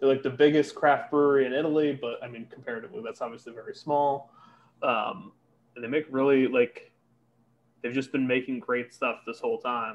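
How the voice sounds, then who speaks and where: Someone with an American accent talks at a fairly quick pace in an ordinary speaking voice. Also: man. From Connecticut. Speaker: beer importer employee. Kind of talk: casual chat. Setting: hotel room.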